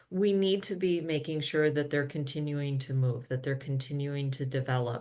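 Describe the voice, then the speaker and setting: An American accent with audible room echo. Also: woman. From US Midwest, Minnesota. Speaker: physical therapy professor and researcher. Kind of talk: conference presentation. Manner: hesitant, many filler ums.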